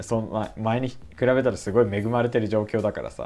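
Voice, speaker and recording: A man talks at a very fast pace, his pitch medium. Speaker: YouTuber on language learning. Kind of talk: casual vlog monologue. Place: home room. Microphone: webcam.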